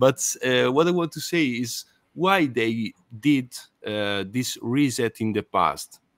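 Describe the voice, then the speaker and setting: Heard in a dry, close sound with no echo, the voice speaks with an Italian accent. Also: man. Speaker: podcast host. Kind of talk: interview. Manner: halting.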